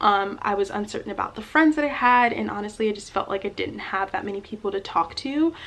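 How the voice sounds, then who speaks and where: Speech comes at a very fast pace with lively intonation and hardly any pauses, over noticeable background noise. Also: woman, medium pitch for a woman. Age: 20s. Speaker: college student. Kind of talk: casual talk to camera.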